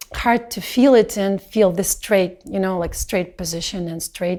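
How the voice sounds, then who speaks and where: A woman with a non-native accent speaks in a dark, mellow tone. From Belarus. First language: not English. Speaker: dancer. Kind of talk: video testimony reflection. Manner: halting.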